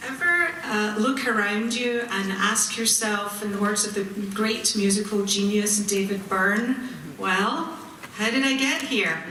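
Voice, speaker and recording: A woman speaks at a fairly slow pace with a fairly high pitch and ordinary pitch variation. Noticeable background noise and audible room echo fill the recording. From Scotland, Glasgow. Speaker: community activist. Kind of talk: ceremony speech. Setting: auditorium with audience.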